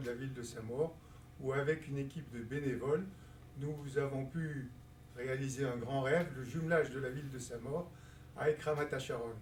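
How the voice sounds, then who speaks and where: A fairly high-pitched man speaks at a moderate pace with fairly even intonation, amid noticeable background noise and audible room echo. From Algeria (Constantine). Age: 60s. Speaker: community leader and election candidate. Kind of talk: interview.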